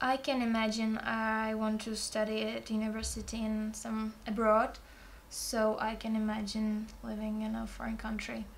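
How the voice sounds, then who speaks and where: A woman keeps a moderate pace as audible echo fills the room around her. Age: 20s. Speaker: student. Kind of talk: oral exam practice. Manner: halting.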